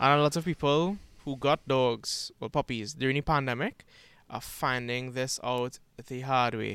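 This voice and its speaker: A man's medium-pitched voice, a normal speaking voice, with ordinary pitch variation at a moderate pace on a very clean recording with a silent background. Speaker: co-host, social media manager. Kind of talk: podcast discussion.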